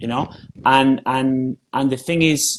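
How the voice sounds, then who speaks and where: A man talks with a Spanish accent at medium pitch. His intonation is fairly even. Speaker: spiritual teacher. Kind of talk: podcast interview. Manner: repetitive, emphatic.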